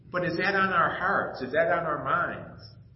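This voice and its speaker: Noticeable background noise and audible room echo surround the recording. A man speaks at a high pitch and a fairly slow pace. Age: 50s. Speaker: pastor. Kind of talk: sermon. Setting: church. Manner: casual.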